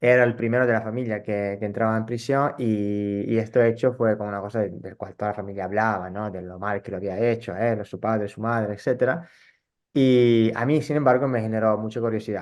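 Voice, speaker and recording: The background is quiet. A man speaks at a medium pitch and a fairly quick pace. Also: fairly even intonation. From northern Italy, rural. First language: Italian (speaking Spanish). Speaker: psychologist and social theatre educator. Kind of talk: interview. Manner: halting, with fillers and repetitions.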